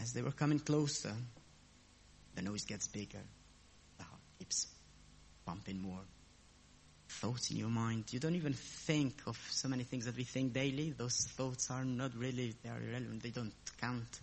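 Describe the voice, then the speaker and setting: At a moderate pace, a man with a non-native accent talks with long, frequent pauses. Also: medium pitch for a man, ordinary pitch variation. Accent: foreign. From abroad, a different country. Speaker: lay preacher. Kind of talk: sermon.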